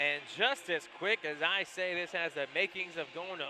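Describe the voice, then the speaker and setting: At a fairly slow pace, a man speaks in a high pitch with fairly even intonation. Noticeable background noise runs behind him. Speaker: sports play-by-play announcer. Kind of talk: hockey play-by-play commentary.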